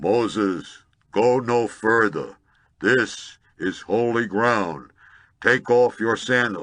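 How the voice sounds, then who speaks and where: Against a quiet background, a man uses a booming, resonant put-on character voice at a very slow pace with long, frequent pauses. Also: medium pitch for a man. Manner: commanding, solemn.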